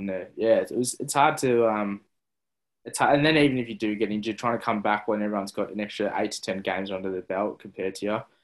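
A man talks at a very fast pace with an Australian accent. His pitch is fairly low, and the recording is very clean with a silent background. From Melbourne, Australia (south-eastern suburbs). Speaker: former AFL footballer and actor. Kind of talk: interview. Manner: halting, many fillers.

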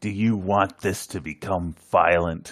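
A put-on character voice from a man, pitched very deep and low, delivered at a fairly slow pace. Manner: scary, menacing but unconvincing.

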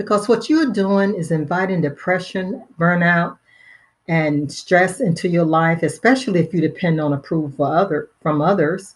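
In an American accent, a woman with a fairly low pitch speaks somewhat breathily with ordinary pitch variation over a quiet background. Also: moderate pace. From Pennsylvania, US.

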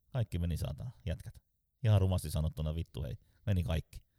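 Speaking with a very deep, low pitch and a dark, mellow tone with vocal fry, a man moves at a fairly quick pace with lively intonation in a dry, close sound with no echo. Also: long, frequent pauses. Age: 40s. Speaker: sales trainer. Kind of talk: casual interview.

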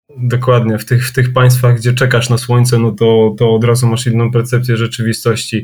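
Somewhat breathy, a man speaks in a monotone, flat intonation at very even loudness, with hardly any pauses. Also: medium pitch for a man, fairly quick pace. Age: 30s. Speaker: punk band vocalist. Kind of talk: casual chat.

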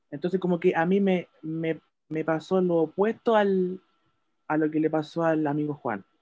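A man speaks at a moderate pace in a high pitch, his dark, mellow tone carrying ordinary pitch variation. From Chile. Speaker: podcast panelist. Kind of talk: casual chat.

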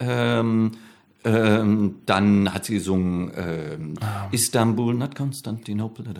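Very slow delivery comes from a man with a fairly low pitch. His pitch variation is ordinary. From Ruhr area, Germany (Bochum). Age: 50s. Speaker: comedian and flamenco guitarist. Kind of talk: casual interview chat.

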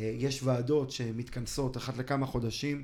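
With monotone, flat intonation, a man talks in a voice that is somewhat breathy. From Israel, Ra'anana. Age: 30s. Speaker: charity foundation director. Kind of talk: interview.

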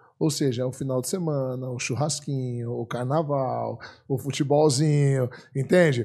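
A man speaks at a medium pitch and a fairly slow pace, with a dark, mellow tone that is somewhat breathy. His intonation is fairly even over a quiet background. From Brazil. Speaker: philosophy professor and author. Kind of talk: podcast interview.

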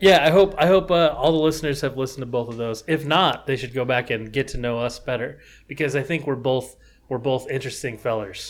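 In a very clean recording with a silent background, a man with an unremarkable speaking voice talks at a fairly quick pace, with a medium pitch and ordinary pitch variation. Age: 20s. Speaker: designer and podcast co-host. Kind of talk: casual chat.

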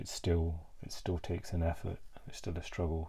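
A man's very deep, low voice sounds somewhat breathy, with a dark, mellow tone. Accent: British. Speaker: vlogger. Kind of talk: solo mental health vlog, reflective monologue. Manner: halting, hesitant, many filler words.

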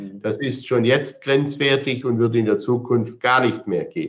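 At a very slow pace, a man talks at medium pitch. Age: 60s. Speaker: mayor. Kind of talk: interview.

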